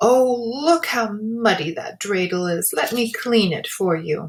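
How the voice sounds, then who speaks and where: A female-sounding, put-on character voice speaks at a fairly slow pace and fairly high pitch. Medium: read story.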